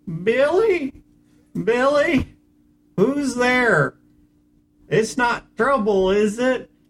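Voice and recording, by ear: In a put-on character voice that sounds female, the speaker talks at a high pitch and a very slow pace, leaving long, frequent pauses.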